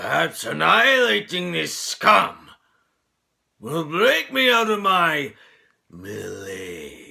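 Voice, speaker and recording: Using a put-on character voice, a man talks at a very slow pace with long, frequent pauses. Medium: solo performance. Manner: theatrical, grandly villainous.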